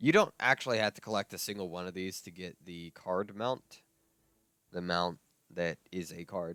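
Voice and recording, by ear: Putting on a character voice, a man growls at a very deep, low pitch, hoarse and raspy, at a moderate pace.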